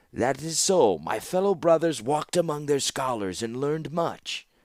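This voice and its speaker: A man uses a put-on character voice at a fairly high pitch. His pace is moderate, and the recording is very clean with a silent background. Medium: read story. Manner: smooth, obsequious.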